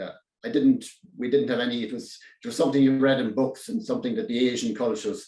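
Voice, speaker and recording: Speaking very fast in a strong Irish accent, a man with a medium pitch and a dark, mellow tone swings his pitch very widely. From Ireland, County Kerry. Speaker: public speaking club member. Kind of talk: prepared speech. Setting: speech contest. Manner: halting; goes quiet at times.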